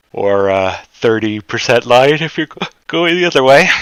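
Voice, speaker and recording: This man speaks at a fairly slow pace. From Canada. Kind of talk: live stock chart analysis stream. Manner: casual, conversational.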